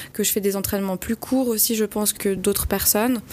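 This woman's voice sits at a medium pitch. She delivers every line flat and monotone. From French-speaking Switzerland, Valais Chablais. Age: 20s. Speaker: amateur trail runner, hospital worker. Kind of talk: radio interview. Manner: hesitant, with fillers and repetitions.

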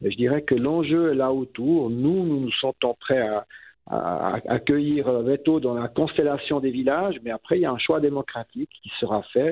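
A man speaks at a fairly slow pace. His pitch is medium, with ordinary variation. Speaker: mayor. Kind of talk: radio interview. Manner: halting, many fillers.

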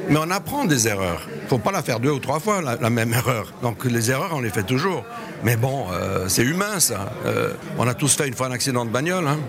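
A man's medium-pitched voice with very wide pitch swings and very even loudness, audible room echo and noticeable background noise. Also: moderate pace. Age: 60s. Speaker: retired luxury hotelier and author. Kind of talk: interview. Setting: at a lunch reception. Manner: voluble.

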